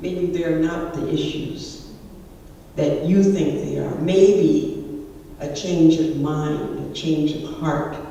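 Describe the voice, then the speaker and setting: A woman with a very deep, low pitch speaks in a monotone, flat intonation, with noticeable background noise and audible room echo. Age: 80s+. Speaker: conference speaker. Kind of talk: conference talk. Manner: halting.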